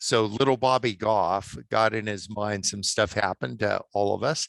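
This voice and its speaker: At a fairly slow pace, a man speaks at medium pitch with ordinary pitch variation, an ordinary speaking voice. The sound is dry and close with no echo, over a quiet background. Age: 60s. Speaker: author and attorney. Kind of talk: podcast interview.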